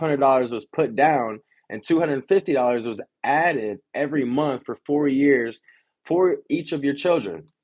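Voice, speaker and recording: A man's fairly high voice at a moderate pace, with ordinary pitch variation. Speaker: insurance agent teaching financial literacy class. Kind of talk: reading aloud from a book with commentary. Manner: halting, self-correcting.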